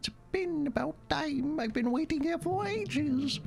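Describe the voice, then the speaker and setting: A put-on character voice speaks at a moderate pace over clear background noise. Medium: game stream. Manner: bubbly, talkative.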